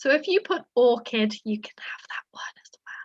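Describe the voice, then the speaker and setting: With a bright, sharp tone, a woman's voice moves through very wide pitch swings. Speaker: quiz host. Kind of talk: online quiz presentation. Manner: whispering at one point.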